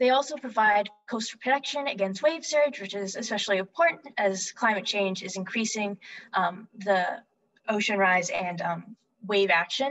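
A woman's voice at a moderate pace, with lively intonation. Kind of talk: lecture. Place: home room. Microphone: webcam.

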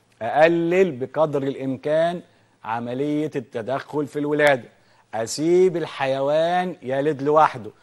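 A man's fairly high voice at a very slow pace, with ordinary pitch variation against a quiet background. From Egypt. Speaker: veterinarian TV host. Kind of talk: educational TV program. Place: studio. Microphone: lapel.

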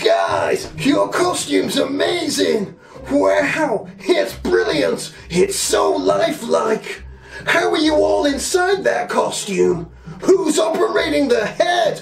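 A man in a cartoonish character voice at a very slow pace, with clear background noise. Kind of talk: comic puppet sketch. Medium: puppet show.

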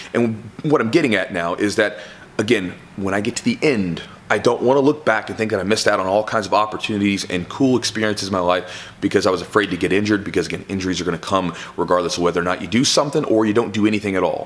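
A man with a fairly low voice talks at a very fast pace with ordinary pitch variation. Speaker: jiu-jitsu instructor. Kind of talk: casual vlog chat. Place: gym.

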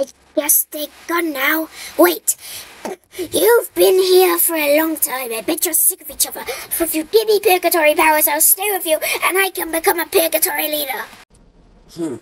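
The pitch is high. The pace is moderate. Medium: machinima. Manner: apologetic, eager.

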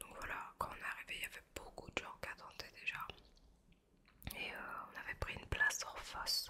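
This is a woman. She is whispering. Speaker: ASMR creator. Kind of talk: ASMR chat while eating pastry. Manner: soft, slow, relaxing. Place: home room. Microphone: studio mic.

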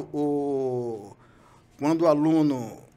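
His voice sits fairly high for a man. The pitch moves up and down in an ordinary way. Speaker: retired marine special forces sniper. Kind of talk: interview testimony. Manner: halting. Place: studio. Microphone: studio mic.

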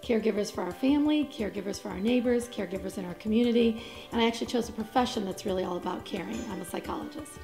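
A woman speaks very fast at a fairly high pitch with ordinary pitch variation. Music plays clearly in the background. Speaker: psychologist. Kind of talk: interview answer. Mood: warm, reflective. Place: studio.

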